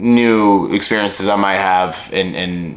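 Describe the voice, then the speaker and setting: A man talks with fairly even intonation. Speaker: vlogger. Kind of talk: casual monologue review. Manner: halting.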